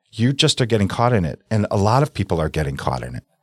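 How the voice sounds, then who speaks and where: A man with an American accent talks in a fairly low pitch with vocal fry and very wide pitch swings. The sound is dry and close with no echo, on a very clean recording with a silent background. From US Midwest, South Milwaukee, Wisconsin. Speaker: real estate broker. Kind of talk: casual interview.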